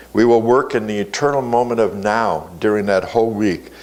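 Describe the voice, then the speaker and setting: Audible room echo fills the space as a man speaks at a moderate pace. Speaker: spiritual teacher. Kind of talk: sermon.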